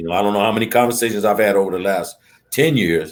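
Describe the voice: A man speaks at a fairly low pitch, his tone slightly mellow and his intonation fairly even.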